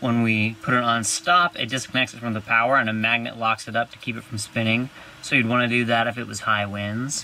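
A man talks at a fairly quick pace with fairly even intonation, his dry, echo-free sound sitting over light background noise. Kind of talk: tutorial. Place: boat. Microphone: phone near.

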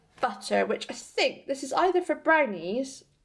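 A woman's voice with a fairly bright tone.

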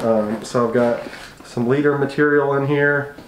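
There is noticeable background noise. A man speaks through it. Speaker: fishing channel host. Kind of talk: gear tutorial. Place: home room. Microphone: camera far.

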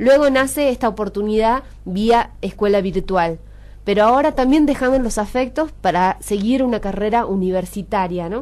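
With ordinary pitch variation, a woman talks at a moderate pace. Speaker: radio host. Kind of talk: radio interview. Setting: radio studio. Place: studio.

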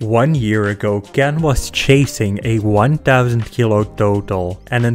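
Music plays in the background as a man talks at a fairly slow pace. His pitch varies in an ordinary way. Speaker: channel narrator. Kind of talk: commentary.

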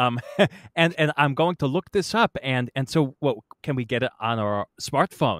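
A man with an unremarkable speaking voice at medium pitch talks at a moderate pace with lively intonation, the sound dry and close with no echo. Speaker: podcast host and musician. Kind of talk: interview.

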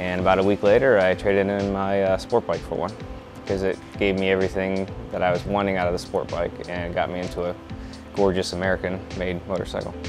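A man talks at a fairly quick pace in a very deep, low pitch, his intonation monotone and flat. Clear music plays in the background. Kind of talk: interview answer. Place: shop. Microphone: lapel.

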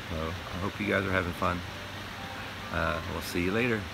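Loud background noise sits behind a man speaking at a moderate pace. His pitch varies in an ordinary way, and the sound is dry with no echo. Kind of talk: casual vlog chat. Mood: relaxed, content. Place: beach. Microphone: phone near.

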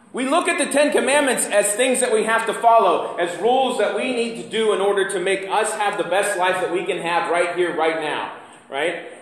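A man speaks at a moderate pace with hardly any pauses, and audible room echo fills the recording. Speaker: pastor. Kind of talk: sermon. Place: church. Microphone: camera far.

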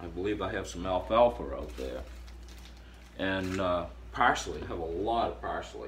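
In a room with audible echo, a man with a very deep, low voice and vocal fry talks at a moderate pace, his pitch swinging very widely between long, frequent pauses. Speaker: herbalist video host. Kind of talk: tutorial.

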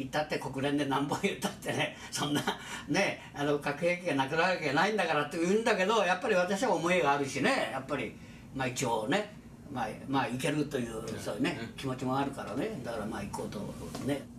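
Lively intonation at a fairly quick pace, with audible room echo and light background noise. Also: man. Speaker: atomic bomb survivor. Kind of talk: interview answer. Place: home room.

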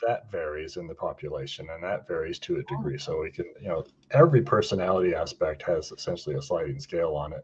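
Speaking at a very fast pace, a man talks with a Western New York accent. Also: hardly any pauses. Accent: Western New York American. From US, Buffalo, New York. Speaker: retired pharmacist. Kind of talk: casual discussion. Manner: halting. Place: home room. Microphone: studio mic.

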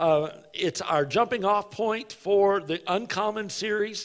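A man speaks in a high pitch with ordinary pitch variation. The background is quiet. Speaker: pastor. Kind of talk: sermon. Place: church.

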